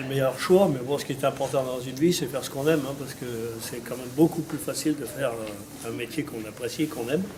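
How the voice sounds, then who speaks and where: A man talks at a fairly quick pace in a fairly high pitch, with ordinary pitch variation. Noticeable background noise runs under his voice. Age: 60s. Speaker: farmer. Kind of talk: interview. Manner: halting.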